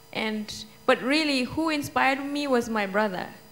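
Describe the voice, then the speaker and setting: In an Indian accent, a woman with a high pitch talks at a moderate pace with lively intonation. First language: Hindi. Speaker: children's author. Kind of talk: panel Q&A answer.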